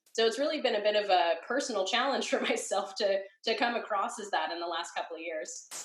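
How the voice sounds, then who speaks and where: Her pitch fairly high and her intonation lively, a woman talks at a very fast pace. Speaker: web design educator. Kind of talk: interview. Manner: animated.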